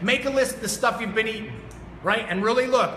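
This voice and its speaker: Shouting in a raised, projected voice, a man with a high pitch sounds energetic amid noticeable background noise and audible room echo. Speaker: fitness coach and motivational speaker. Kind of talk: motivational talk. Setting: studio with live audience. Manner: loud, yelling.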